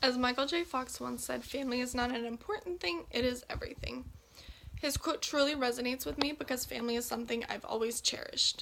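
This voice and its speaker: A woman with an American accent talks at a very fast pace and a high pitch. Noticeable background noise can be heard. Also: ordinary pitch variation. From Texas, Belton. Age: 18. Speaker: nursing student. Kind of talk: class introduction speech.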